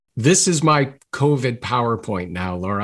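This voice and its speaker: A man with a Maritime Canadian accent is speaking. His pitch is medium and his intonation lively. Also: quiet background. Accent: Maritimes Canadian. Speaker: gratitude expert and author. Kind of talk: interview conversation.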